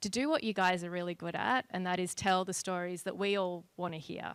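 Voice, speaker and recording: In an Australian accent, a woman speaks with a bright, sharp tone, recorded very cleanly against a silent background with a dry, close sound and no echo. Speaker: company partnerships lead and juror. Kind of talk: public welcome speech. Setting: event with live audience.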